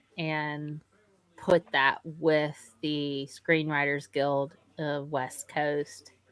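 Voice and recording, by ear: A woman's very deep, low-pitched voice with a Southern US accent, bright, sharp tone and monotone, flat intonation, in a very clean recording with a silent background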